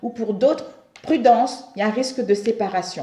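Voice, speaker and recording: Using an ordinary speaking voice, a woman talks fairly high in pitch, her pitch moving in an ordinary way. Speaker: tarot reader. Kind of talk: tarot reading monologue. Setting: home, at a table.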